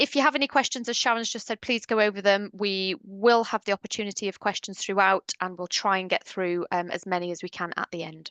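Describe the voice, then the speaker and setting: With a British accent, the speaker races along at a very fast pace with hardly any pauses and ordinary pitch variation, in a dry, close sound with no echo and a quiet background. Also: woman, medium pitch for a woman. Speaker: webinar presenter for dental hygienists. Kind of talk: webinar presentation. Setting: online webinar.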